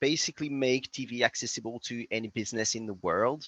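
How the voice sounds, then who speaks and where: In a quiet background, a man with a French accent speaks in a bright, sharp tone, the sound dry and close with no echo. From France. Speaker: tech startup CEO. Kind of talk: podcast interview. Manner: hesitant, many fillers.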